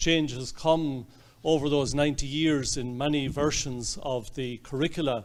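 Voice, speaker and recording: In an Irish accent, a man speaks at a moderate pace with a medium pitch. His intonation stays fairly even. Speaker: archbishop. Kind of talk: speech. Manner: halting, many fillers.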